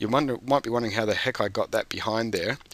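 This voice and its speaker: His voice sits fairly low, with a bright, sharp tone. This man's intonation stays fairly even. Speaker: teacher trainer. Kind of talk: tutorial. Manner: hesitant, many fillers.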